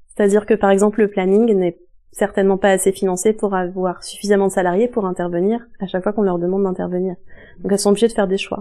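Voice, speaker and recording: At a very fast pace, a woman with a medium-pitched, dark and mellow voice speaks in a monotone, flat intonation. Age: 30s. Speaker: local councillor and activist. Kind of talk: interview. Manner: hesitant, many fillers.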